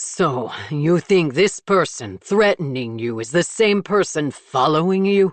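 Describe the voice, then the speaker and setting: Someone does a put-on character voice at a middle pitch, speaking fairly slowly with hardly any pauses. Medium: read story. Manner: sharp, suspicious.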